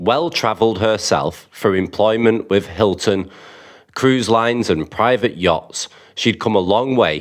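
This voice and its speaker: A man speaks in a normal speaking voice, pitched fairly low. His pace is fairly slow. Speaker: YouTube channel host. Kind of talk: reading aloud a viewer's submitted story.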